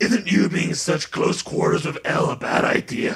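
Using a put-on character voice, a man sounds raspy at a fairly high pitch. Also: moderate pace. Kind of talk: comic overacting. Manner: childish, whiny, excitable.

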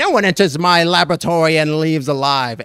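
Cackling in a put-on character voice, a man projects loudly at a fairly high pitch and fairly quick pace with ordinary pitch variation. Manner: cackling, menacing.

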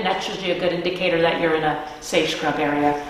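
A fairly quick woman's voice with fairly even intonation amid audible room echo. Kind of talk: interview answer. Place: hall. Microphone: camera far.

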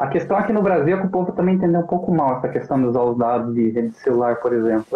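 A man with a fairly high pitch talks at a very fast pace with very wide pitch swings and audible room echo. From Brazil, Santa Catarina (Joinville); Santa Catarina, Brazil. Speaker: political movement spokesman, live show host. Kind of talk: casual live-stream interview. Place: home room. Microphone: video call.

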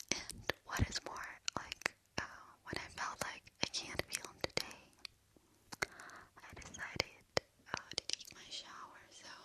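Whispering softly at a very slow pace, a woman leaves long, frequent pauses against loud background noise. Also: dry sound with no echo. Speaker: ASMR creator. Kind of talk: soft-spoken ASMR chat. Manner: soft close-mic ear whisper. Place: home room. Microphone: studio mic.

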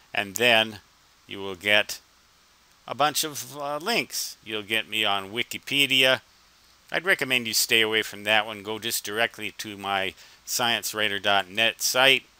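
The tone is bright and sharp, the intonation fairly even, and the sound dry with no echo. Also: man, fairly low pitch for a man. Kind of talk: screen-recording walkthrough narration. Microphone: headset.

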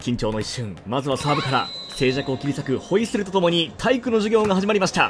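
Music plays in the background as a man talks at a very fast pace. His intonation is lively. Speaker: former TV announcer, esports caster and YouTuber. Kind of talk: sports play-by-play commentary with comedic asides. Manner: crisp, fast, professional announcer delivery.

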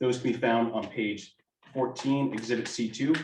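Speaking at a fairly quick pace, a man keeps to a medium pitch. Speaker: auditor. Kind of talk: financial report presentation. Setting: school board meeting. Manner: fast.

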